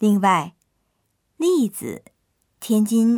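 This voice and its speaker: On a very clean recording with a silent background, a woman speaks very slowly at a fairly high pitch, somewhat breathy, with very wide pitch swings. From China, Tianjin. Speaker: language lesson narrator. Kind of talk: scripted narration.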